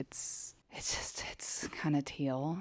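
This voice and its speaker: Someone whispers at a very slow pace on a very clean recording with a silent background. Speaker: vlogger. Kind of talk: casual chat. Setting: home, living room floor. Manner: whispering. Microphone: new microphone.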